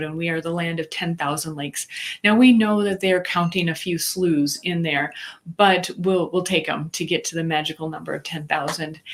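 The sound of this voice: A woman with a Minnesotan accent, fairly low pitch, fairly even intonation, and a moderate pace. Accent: Minnesota.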